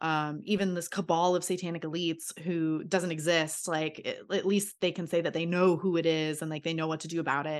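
Against a quiet background, someone with an American accent talks at a fairly quick pace. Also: woman, fairly low pitch for a woman. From small town Florida. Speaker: podcast guest, commentator on religion and culture. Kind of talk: casual chat. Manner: animated.

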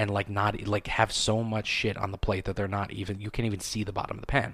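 A man's fairly low-pitched voice with vocal fry at a fairly quick pace. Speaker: podcast host. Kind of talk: casual solo monologue. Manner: casual, rambling, filler words.

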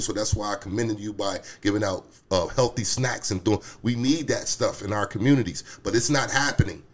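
A man with an American accent, medium pitch, fairly even intonation and a fairly quick pace. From Harrisburg, Pennsylvania. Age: 40s. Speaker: city council candidate. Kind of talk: casual interview. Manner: halting, many fillers.

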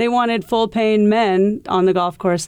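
With an American accent, a woman speaks in an ordinary speaking voice at medium pitch and a moderate pace, in a very clean recording with a silent background. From US Midwest (Iowa). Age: 50s. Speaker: golf professional and coach. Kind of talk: interview.

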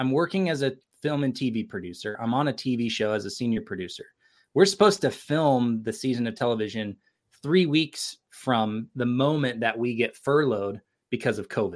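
A man with an American accent and an ordinary speaking voice talks at a medium pitch and a moderate pace with lively intonation. The recording is very clean, with a silent background. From California (Sacramento area). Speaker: creative entrepreneur and film producer. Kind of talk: casual interview conversation.

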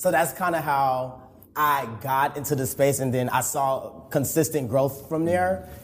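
A man's somewhat breathy, fairly high voice with an American accent, at a moderate pace with ordinary pitch variation. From Chicago, Illinois. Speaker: content creator and corporate employee. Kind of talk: interview.

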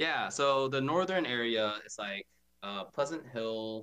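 Speaking at a very slow pace, a man with an American accent has a bright, sharp tone and lively intonation. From US South, Atlanta, Georgia. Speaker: community organization leader. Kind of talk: casual interview.

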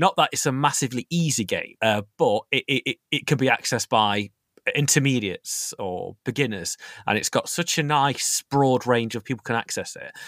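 In a dry, close, very clean recording with a silent background, a man with an East Midlands accent speaks at a moderate pace with medium pitch and ordinary pitch variation. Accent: East Midlands, similar to host's. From East Midlands, England (Nottingham). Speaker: strategy gaming enthusiast. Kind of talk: casual chat. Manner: halting, many fillers and restarts.

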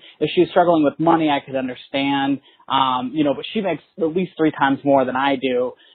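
In an American accent, the speaker uses an ordinary speaking voice with fairly even intonation at a fairly quick pace. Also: man, fairly high pitch for a man. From Texas. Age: 20s. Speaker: caller, student. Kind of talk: voicemail question. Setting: phone call.

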